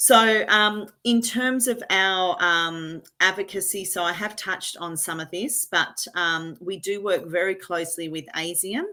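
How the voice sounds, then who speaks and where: Hardly any pauses break up this speech in an Australian accent, recorded very cleanly with a silent background. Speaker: patient association representative. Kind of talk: presentation at annual general meeting. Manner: fast.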